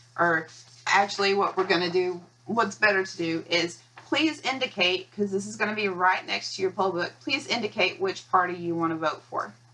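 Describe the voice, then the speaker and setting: A woman with an American accent speaks at a medium pitch over noticeable background noise. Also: ordinary pitch variation. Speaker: county elections administrator. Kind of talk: training video. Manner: fast; halting, with pauses and stuttering.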